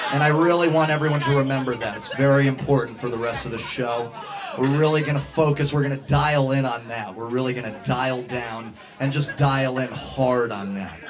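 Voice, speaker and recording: A man talks fairly quickly with fairly even intonation while noticeable background noise carries on behind him. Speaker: host. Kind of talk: comedic stage banter. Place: bar.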